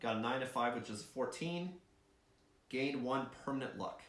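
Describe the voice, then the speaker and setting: Noticeable background noise and audible room echo surround a man speaking at a moderate pace and medium pitch, with ordinary pitch variation. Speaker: board game video creator. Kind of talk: solo board game playthrough commentary.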